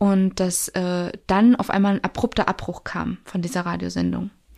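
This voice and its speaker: This woman has an unremarkable speaking voice, medium in pitch, at a moderate pace. The recording is very clean, with a silent background. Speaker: podcast host and social worker. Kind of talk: casual chat. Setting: studio.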